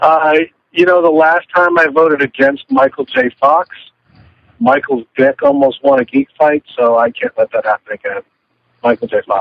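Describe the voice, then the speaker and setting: It is an ordinary speaking voice, belonging to a man with a fairly high pitch. His intonation is lively and his pace moderate. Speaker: podcast co-host. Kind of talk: casual chat. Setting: in a car. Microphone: phone line, poor sound.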